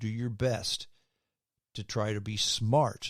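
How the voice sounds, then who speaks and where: A fairly low-pitched man's voice comes through on a very clean recording with a silent background. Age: 60s. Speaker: podcast host, former radio host. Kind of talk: podcast sign-off; opinion commentary podcast. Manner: casual, conversational.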